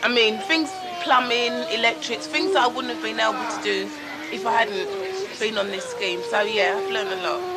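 A woman's voice with crowd noise in the background. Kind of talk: interview answer. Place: street. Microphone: old recording.

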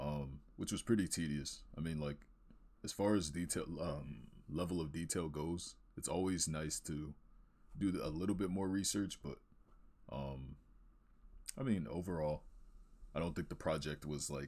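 A man with a very deep, low pitch speaks with vocal fry at a moderate pace. He leaves long, frequent pauses. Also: ordinary pitch variation. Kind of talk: casual portfolio walkthrough commentary.

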